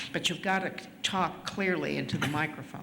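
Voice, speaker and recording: A woman's fairly low voice at a moderate pace, ordinary pitch variation, noticeable background noise and audible room echo. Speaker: community member at public comment. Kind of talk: public comment at a meeting. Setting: school board meeting. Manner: loud.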